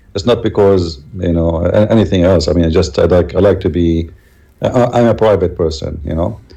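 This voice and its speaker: A man with a very deep, low pitch, a dark, mellow tone, an Arabic accent and a fairly quick pace. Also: ordinary pitch variation. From Middle East. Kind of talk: interview.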